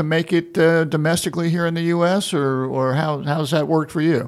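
With an American accent and a normal speaking voice, a man talks at a moderate pace, his pitch fairly high and his intonation fairly even. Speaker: podcast host, manufacturing center director. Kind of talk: casual interview.

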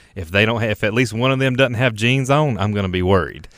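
Using fairly even intonation, a man speaks at a very fast pace. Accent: North Carolina. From North Carolina, Richmond County. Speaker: fruit company general manager. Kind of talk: casual chat.

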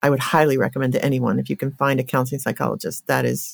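Talking at a very fast pace, a woman with a very deep, low pitch and vocal fry sounds dry and close, with no echo. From Colorado. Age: 60s. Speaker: therapist. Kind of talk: interview conversation.

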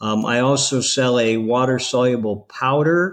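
Using a plain, everyday voice, a man holds a medium pitch and varies it in an ordinary way. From Ohio, US Midwest. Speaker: CBD store owner. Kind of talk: interview.

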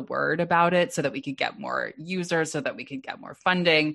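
A woman with an American accent, at a moderate pace, with ordinary pitch variation. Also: quiet background. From US West Coast, West Los Angeles. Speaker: dating app co-founder. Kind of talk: interview. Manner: halting.

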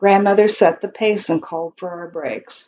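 A woman with an American accent speaks at a moderate pace. Hers is an unremarkable speaking voice at a medium pitch, with ordinary pitch variation. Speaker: poet. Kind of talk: reading aloud.

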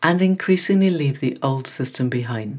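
Lively intonation marks a woman's somewhat breathy speech. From Scotland. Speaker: podcast host. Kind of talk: scripted introduction; interview conversation.

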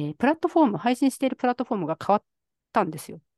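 A woman's voice against a quiet background. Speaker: podcast co-host, IT worker and mother. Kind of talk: casual chat. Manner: many fillers.

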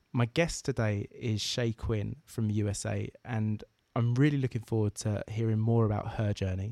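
Dry and close with no echo, a man's dark, mellow voice carries fairly even intonation with an Essex accent. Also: medium pitch for a man, moderate pace, very clean recording, silent background. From southeast England. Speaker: podcast host. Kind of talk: interview.

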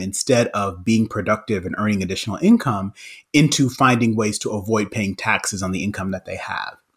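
Speaking at a moderate pace, a man uses a normal speaking voice at a medium pitch. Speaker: economics professor. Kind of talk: interview. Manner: laughs often.

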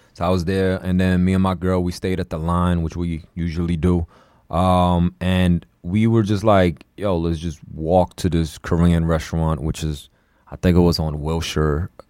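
A dark, mellow tone delivered in a flat monotone. The recording is very clean, with a silent background. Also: man, very deep, low pitch for a man, moderate pace. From China, raised in Queens, New York. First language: Chinese. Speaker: podcast co-host. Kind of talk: casual chat.

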